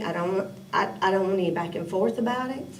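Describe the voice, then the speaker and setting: A woman in a Tennessee accent at a very fast pace, medium in pitch, with audible room echo and noticeable background noise. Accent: Southern US (Tennessee). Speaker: city council member. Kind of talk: committee meeting discussion.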